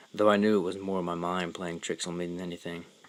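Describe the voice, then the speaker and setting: This man's pitch is very deep and low. He talks at a fairly quick pace in a monotone, flat intonation. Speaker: horror story narrator. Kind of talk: horror story narration. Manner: stuttering.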